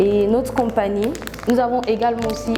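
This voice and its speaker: Music plays in the background while a woman speaks at a moderate pace. Her intonation is monotone and flat, and room echo is audible. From Gabon. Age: 20s. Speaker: entrepreneur. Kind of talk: product presentation.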